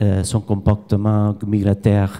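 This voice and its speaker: A man with a Spanish accent speaks fairly slowly at a fairly low pitch, his tone dark and mellow. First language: Spanish or Catalan (speaking French). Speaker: fish biologist, research professor. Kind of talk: conference presentation. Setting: conference with audience. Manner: halting.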